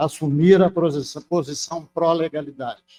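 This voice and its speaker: A man's fairly high voice with fairly even intonation, dry and close with no echo, music playing in the background. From Brazil, Minas Gerais (rural central-west). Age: 70s. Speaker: professor emeritus, public health physician. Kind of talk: acceptance speech at formal ceremony. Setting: ceremonial hall with audience. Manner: formal.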